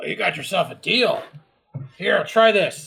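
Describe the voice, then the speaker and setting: Putting on a raspy character voice, a man delivers his lines at a moderate pace. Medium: actual play. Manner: blunt, gleeful.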